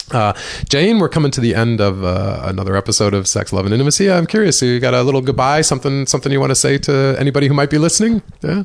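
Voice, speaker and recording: Over noticeable background noise, a man with a medium-pitched voice speaks very fast with hardly any pauses. His loudness stays very even as his pitch swings very widely. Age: 50s. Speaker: podcast host. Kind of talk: interview.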